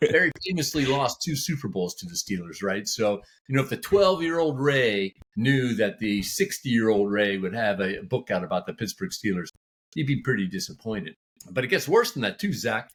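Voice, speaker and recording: Speaking at a fairly quick pace, a man with an American accent makes very wide pitch swings. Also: medium pitch for a man, very clean recording, silent background. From Texas, Houston. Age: 60s. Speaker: author. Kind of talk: podcast interview. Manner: hesitant, many fillers.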